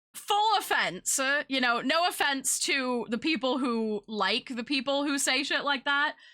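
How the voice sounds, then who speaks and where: Raising and projecting her voice, a woman with an American accent speaks at a high pitch with a bright, sharp tone and lively intonation, at a fairly slow pace with hardly any pauses. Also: very even loudness. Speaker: streamer. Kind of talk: casual chat. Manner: many fillers, halting.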